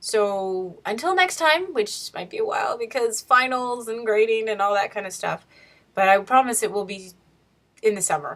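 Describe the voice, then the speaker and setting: A woman with a fairly high pitch talks at a moderate pace, her lively intonation paired with big swings in loudness. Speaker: teacher and writer vlogger. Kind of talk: casual video diary. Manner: chatty.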